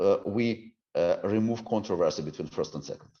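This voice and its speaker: A man speaks with a Ukrainian accent. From Ukraine. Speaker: civic reform expert. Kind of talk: interview. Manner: halting, many fillers and restarts.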